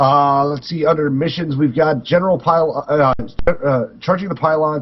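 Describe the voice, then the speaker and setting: A man's somewhat breathy, fairly high voice at a moderate pace with fairly even intonation. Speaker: gaming podcast co-host. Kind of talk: casual chat, reading patch notes aloud. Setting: live stream recording. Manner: halting, stumbles over words.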